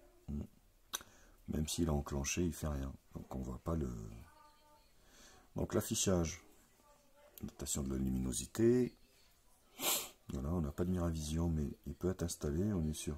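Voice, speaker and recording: A man with a very deep, low voice and a dark, mellow, somewhat breathy tone talks at a fairly slow pace with ordinary pitch variation and long, frequent pauses. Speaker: tech reviewer. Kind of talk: unboxing tutorial. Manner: casual.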